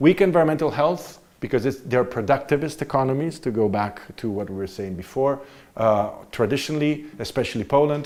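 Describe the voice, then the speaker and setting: Speaking with an Italian accent, a man with a fairly high pitch moves at a fairly quick pace with lively intonation in a very clean recording with a silent background. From Italy. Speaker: visiting political science professor. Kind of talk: university lecture.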